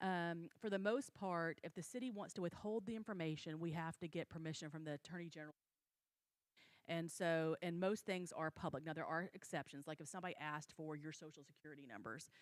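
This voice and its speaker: Here a woman talks at a fairly quick pace in a fairly low pitch with ordinary pitch variation. The sound is dry and close, with no echo. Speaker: city attorney. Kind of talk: training presentation. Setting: city council meeting. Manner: fast.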